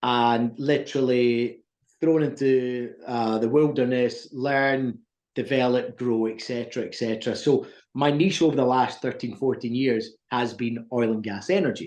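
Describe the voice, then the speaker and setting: With a quiet background behind him, a man speaks in fairly even intonation. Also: medium pitch for a man. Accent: American. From Scotland. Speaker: recruitment business owner. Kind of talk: interview.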